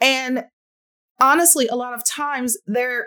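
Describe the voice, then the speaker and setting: A woman speaks at a fairly slow pace in an animated tone. The recording is very clean, with a silent background. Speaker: podcast host and speech-language pathologist. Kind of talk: solo educational podcast monologue.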